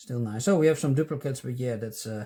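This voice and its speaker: A man with a non-native accent speaks in a dark, mellow tone, somewhat breathy. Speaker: stamp collecting youtuber. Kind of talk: casual chat. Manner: halting. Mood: relaxed, pleased. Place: home room.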